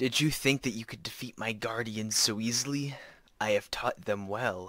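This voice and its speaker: A man does a put-on character voice at a moderate pace. The recording is very clean, with a silent background. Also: medium pitch for a man. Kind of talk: fan reading of game lines. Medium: voice reel. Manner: taunting, smug.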